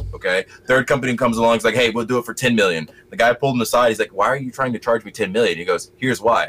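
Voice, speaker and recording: A man's medium-pitched voice at a very fast pace, in an American accent. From US South. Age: 20s. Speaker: podcast guest. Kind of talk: casual political discussion. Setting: home bedroom, video call.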